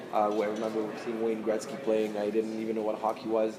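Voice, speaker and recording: Amid noticeable background noise and audible room echo, a man with a Canadian accent speaks at a fairly quick pace. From Montreal, Canada. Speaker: ice hockey player. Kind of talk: press conference.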